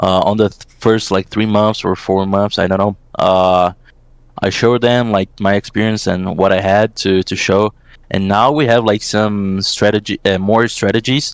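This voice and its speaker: A man speaks at a moderate pace with a Portuguese accent. His pitch is fairly low and his intonation fairly even. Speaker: esports assistant coach. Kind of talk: interview. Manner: halting, many fillers.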